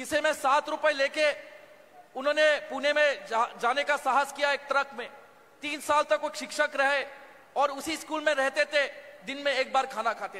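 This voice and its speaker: Raising and projecting his voice, a man with a Marathi accent speaks at an extremely high pitch in a monotone, flat intonation. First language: Marathi (speaking Hindi). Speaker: politician. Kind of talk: political rally speech. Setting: stage at public rally. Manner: halting.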